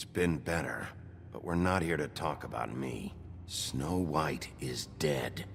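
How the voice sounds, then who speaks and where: A man's put-on character voice, very deep and low-pitched, at a fairly slow pace amid clear background noise. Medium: video game. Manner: gruff, blunt.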